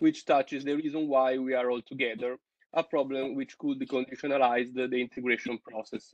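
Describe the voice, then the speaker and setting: A man with an Italian accent, fairly high-pitched, in a flat monotone. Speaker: seminar participant. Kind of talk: reading aloud. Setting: video call. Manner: halting.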